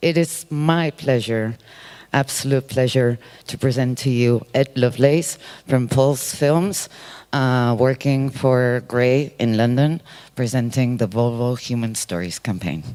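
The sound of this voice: A man's medium-pitched voice, clear and smooth with a slightly mellow tone, slow pace and ordinary pitch variation.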